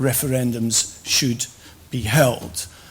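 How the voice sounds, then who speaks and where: Audible room echo surrounds a man as he speaks. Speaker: professor. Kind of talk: conference lecture.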